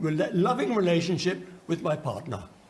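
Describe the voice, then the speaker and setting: The man's voice sits high in pitch, and the room echo is audible. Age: 80s+. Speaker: audience member, campaigner. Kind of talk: audience contribution in TV debate. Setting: TV studio audience, handed microphone.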